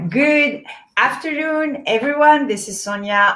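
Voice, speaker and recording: A woman talks in a strong French accent. Her tone is bright and sharp, with very wide pitch swings. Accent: heavy French. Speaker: event host, boutique co-founder. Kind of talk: live online event introduction. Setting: livestream.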